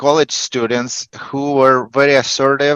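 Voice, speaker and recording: Medium-pitched male speech with fairly even intonation against a quiet background. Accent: Russian. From Russia. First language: Russian. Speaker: negotiation coach. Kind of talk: interview. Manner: halting, many fillers and repetitions.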